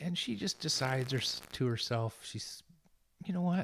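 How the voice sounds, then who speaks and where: This man talks at a moderate pace with a somewhat breathy voice. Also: very clean recording, silent background. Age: 50s. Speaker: charity director and former pastor. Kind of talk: casual interview.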